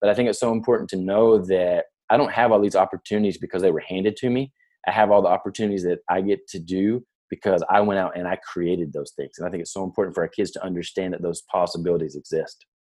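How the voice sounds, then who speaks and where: In an American accent, a man speaks at a very fast pace with a fairly low pitch and fairly even intonation. His tone is dark and mellow, and the sound is dry and close with no echo. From US South, near Nashville, Tennessee. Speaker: podcast host, education consultant. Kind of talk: casual chat.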